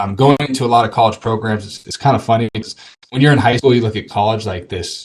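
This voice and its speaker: A somewhat breathy man with an American accent talks at a very fast pace with ordinary pitch variation. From Arizona. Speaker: mindset coach for athletes. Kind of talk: casual interview.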